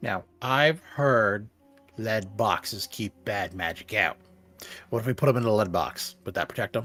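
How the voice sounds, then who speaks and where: Someone uses a put-on character voice at a moderate pace while faint music plays in the background. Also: man, medium pitch for a man. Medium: actual play. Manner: pompous, self-important.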